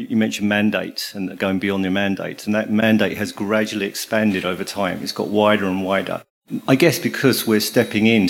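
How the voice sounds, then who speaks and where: A man speaks in a normal speaking voice at a fairly low pitch. His pace is fairly quick, with ordinary pitch variation. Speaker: audience member asking question. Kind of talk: audience question. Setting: live event with audience.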